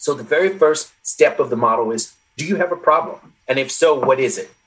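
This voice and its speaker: A man's ordinary speaking voice, fairly high in pitch, with lively intonation. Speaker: social psychologist and author. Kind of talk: interview conversation. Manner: articulate, explanatory.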